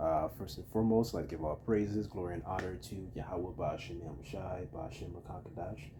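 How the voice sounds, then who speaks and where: Amid audible room echo, a man with a very deep, low, dark and mellow voice and vocal fry speaks at a fairly quick pace, with ordinary pitch variation and big swings in loudness. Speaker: religious teacher. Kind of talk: religious lesson. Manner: casual, hesitant with fillers.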